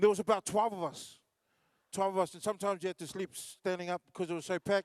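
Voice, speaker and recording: Here a man talks at a very fast pace and high pitch with an animated tone and big swings in loudness. The sound is dry and close, with no echo. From New Zealand, Wellington (Samoan family). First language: Samoan. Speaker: comedian and MC. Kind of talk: stand-up. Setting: stage with audience.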